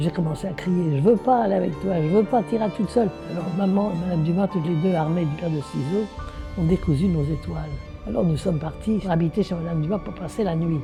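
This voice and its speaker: With music behind her, a woman with a fairly low pitch speaks at a very fast pace and ordinary pitch variation. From France. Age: 80s+. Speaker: Holocaust survivor. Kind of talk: interview answer.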